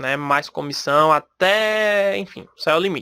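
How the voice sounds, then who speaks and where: A man with a Recife accent speaks fairly slowly in a raised, projected voice, high-pitched, bright and sharp, with ordinary pitch variation. The recording is very clean and dry, close with no echo and a silent background. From Brazil, Recife (Pernambuco). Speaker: podcast host, salesperson. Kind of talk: solo podcast talk. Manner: casual, conversational.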